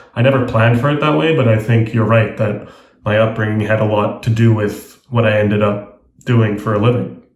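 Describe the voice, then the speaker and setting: Someone with an American accent talks at a fairly quick pace with fairly even intonation, and room echo is audible. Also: man. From international schools in Asia and Australia. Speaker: travel writer and journalist. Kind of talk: interview.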